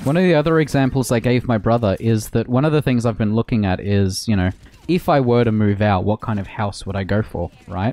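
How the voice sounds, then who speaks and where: A man's dark, mellow tone at a fairly quick pace, with lively intonation and a dry sound with no echo. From Australia. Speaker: gaming streamer. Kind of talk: casual chat. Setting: home. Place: home room.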